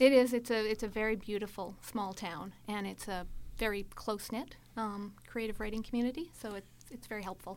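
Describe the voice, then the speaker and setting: Speaking with a Canadian accent and a plain, everyday voice, a woman talks at a fairly quick pace with a fairly high pitch, fairly even intonation and big swings in loudness. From Edmonton, Alberta, Canada. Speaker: writer. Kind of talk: interview.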